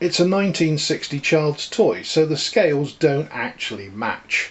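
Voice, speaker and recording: A man with an English accent speaks at a fairly high pitch. His intonation is lively and his pace is fairly slow. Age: 60s. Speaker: model railway hobbyist. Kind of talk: casual show-and-tell walkthrough. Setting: home landing room. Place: home room. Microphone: phone near.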